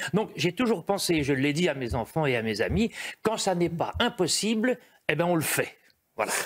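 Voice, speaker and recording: At a moderate pace, a man with a high pitch makes very wide pitch swings while keeping very even loudness. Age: 80s+. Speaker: entertainer and former journalist. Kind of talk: TV talk show interview.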